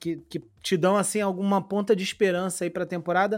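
A man with a high pitch speaks in a very clean recording with a silent background. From Brazil, Rio de Janeiro. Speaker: podcast host. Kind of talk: casual podcast chat.

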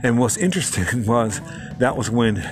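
Over noticeable background noise, a man speaks at a moderate pace with a medium pitch. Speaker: podcast host. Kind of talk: solo podcast talk, reflective self-help. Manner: calm, peaceful; reflective, with filler words.

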